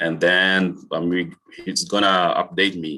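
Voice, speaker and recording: Against a quiet background, a man with a Brazilian accent speaks in a very deep, low pitch with a bright, sharp tone. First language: Portuguese. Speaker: college health and safety staff. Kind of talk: meeting presentation. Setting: video call. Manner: halting.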